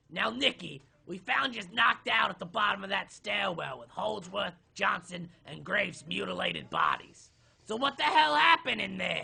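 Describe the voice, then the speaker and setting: A man's raspy, high-pitched, put-on character voice. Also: moderate pace. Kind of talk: audio drama. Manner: brusque, impatient.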